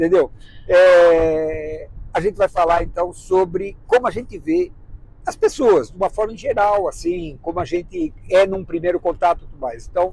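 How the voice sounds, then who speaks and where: A man with a high pitch speaks at a moderate pace, with ordinary pitch variation. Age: 60s. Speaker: travel vlogger, married couple. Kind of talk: casual chat.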